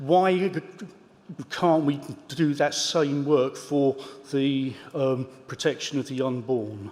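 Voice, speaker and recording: A fairly high-pitched male voice over noticeable background noise. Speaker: synod member. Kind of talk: formal meeting question. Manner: halting, repeated syllables.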